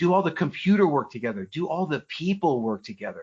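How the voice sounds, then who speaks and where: Energetic in tone, a man speaks with an American accent. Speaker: personal development speaker and author. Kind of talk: podcast interview. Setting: podcast interview. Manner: fast.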